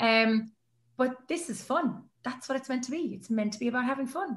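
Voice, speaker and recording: In an Irish accent, a woman talks at a fairly quick pace with fairly high pitch. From Ireland. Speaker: sports announcer. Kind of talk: interview answer.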